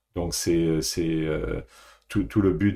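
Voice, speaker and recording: A man speaks at a very slow pace with lively intonation. His very deep, low voice has a dark, mellow tone. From France, Paris. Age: 60s. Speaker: executive coach, former banker. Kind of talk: podcast interview. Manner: halting, with repetitions.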